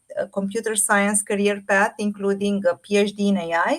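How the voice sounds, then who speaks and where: A woman speaks with a Romanian accent. Her pace is moderate. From Romania, Bucharest. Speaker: AI artist and fashion designer. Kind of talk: presentation talk.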